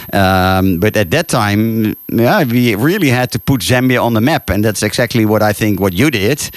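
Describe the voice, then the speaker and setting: The speech moves at a moderate pace with hardly any pauses, ordinary pitch variation and very even loudness, in a dry, close sound with no echo. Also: man, fairly low pitch for a man. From Netherlands. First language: Dutch. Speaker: radio host and safari tour operator. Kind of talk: radio interview. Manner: halting.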